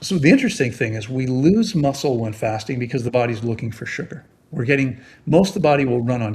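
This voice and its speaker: This man talks at a fairly quick pace in a medium pitch, somewhat breathy and with ordinary pitch variation. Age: 60s. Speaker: fasting expert. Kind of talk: interview. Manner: halting.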